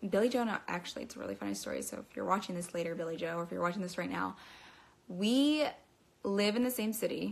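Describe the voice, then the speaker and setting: A woman talks at a very fast pace with lively intonation. Her voice has vocal fry. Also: medium pitch for a woman. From Pennsylvania, US. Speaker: model and social media content creator. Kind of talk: casual livestream Q&A. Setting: social media livestream. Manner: chatty, rambling.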